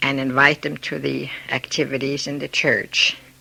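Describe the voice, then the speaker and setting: Against noticeable background noise, a woman with a very deep, low voice speaks at a fairly slow pace. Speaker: immigrant interviewee. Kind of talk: oral history interview.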